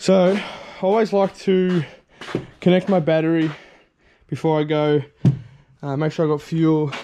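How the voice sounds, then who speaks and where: Over light background noise, a man talks at a moderate pace in a dark, mellow tone with fairly even intonation. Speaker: fishing vlogger. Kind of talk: casual vlog chat. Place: garden. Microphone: phone near.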